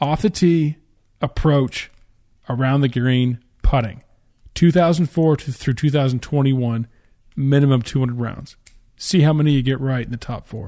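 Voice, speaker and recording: A man with a fairly high pitch and a dark, mellow tone speaks at a fairly slow pace. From Canada. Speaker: golf podcast host. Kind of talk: casual podcast banter.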